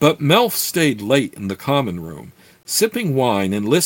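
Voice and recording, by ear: The clip is of reading aloud in a natural voice.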